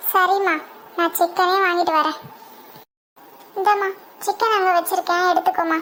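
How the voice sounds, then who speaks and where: An extremely high-pitched cartoonish character voice moves along at a moderate pace. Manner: soft-spoken, affectionate.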